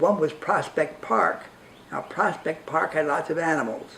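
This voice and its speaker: Someone with a New York accent talks at a moderate pace over noticeable background noise. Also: man. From New York (Brooklyn). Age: 90s. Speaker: interviewee, humanist group member. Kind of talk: personal life story interview.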